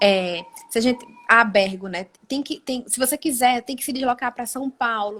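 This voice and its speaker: A woman with a Pernambuco accent speaks at a moderate pace in a high voice, her loudness swinging widely. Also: ordinary pitch variation. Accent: Pernambuco (Brazilian Northeast). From Brazil, Pernambuco interior (Caruaru). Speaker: occupational physiotherapist, ergonomics practitioner. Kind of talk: live stream interview. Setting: online live stream.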